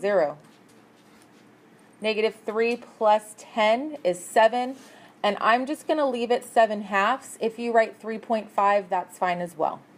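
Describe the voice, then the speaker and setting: The voice is a normal speaking voice with ordinary pitch variation. It moves at a fairly slow pace. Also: woman, fairly high pitch for a woman. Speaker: math teacher. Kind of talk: test review lesson.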